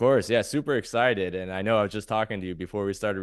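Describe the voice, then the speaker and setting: Very fast talk from a man with a fairly low pitch, dry, close sound with no echo and a quiet background. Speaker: podcast host. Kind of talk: podcast interview host.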